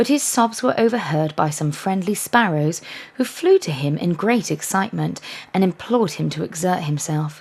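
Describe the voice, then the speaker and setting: A woman with an English accent speaks at a moderate pace and medium pitch, somewhat breathy, in a soothing tone with lively intonation. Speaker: life coach. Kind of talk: bedtime story reading. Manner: soft, soothing.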